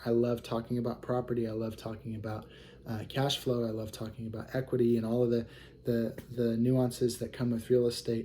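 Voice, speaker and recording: A man talks at a fairly quick pace in a medium pitch, with a dark, mellow tone. His intonation stays monotone and flat. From US Midwest (Kansas City, Missouri), partly Hawaii. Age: 20s. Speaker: real estate acquisitions manager and investor. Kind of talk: self-introduction video. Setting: recording to camera. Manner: casual, hesitant with many fillers.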